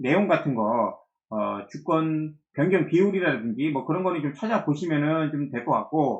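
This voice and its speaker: The man talks at a fairly slow pace. His pitch is fairly high. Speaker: stock market commentator. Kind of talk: market analysis video. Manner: many filler sounds.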